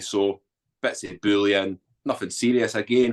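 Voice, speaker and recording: A man with a Scottish accent and a fairly low pitch keeps his intonation fairly even in a dry, close sound with no echo. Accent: Scottish, Edinburgh. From Scotland, Edinburgh. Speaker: army veteran, author, former addict. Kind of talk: interview testimony. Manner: casual.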